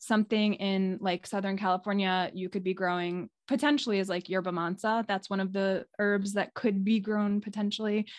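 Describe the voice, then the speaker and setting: A plain, everyday voice from a woman with an American accent, at a moderate pace with hardly any pauses and fairly even intonation, dry and close with no echo against a quiet background. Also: medium pitch for a woman. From New York City area. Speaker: clinical herbalist. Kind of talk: casual interview. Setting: video call.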